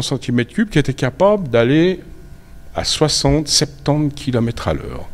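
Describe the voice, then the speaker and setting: A man speaks at a moderate pace with vocal fry. His pitch sits fairly high for a man. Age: 70s. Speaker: motorcycle collector. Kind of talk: interview. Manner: halting.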